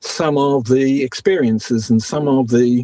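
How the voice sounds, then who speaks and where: Speaking at a fairly slow pace, a man with a New Zealand accent uses a medium pitch and ordinary pitch variation. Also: dry, close sound with no echo. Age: 60s. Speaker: astrologer. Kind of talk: interview.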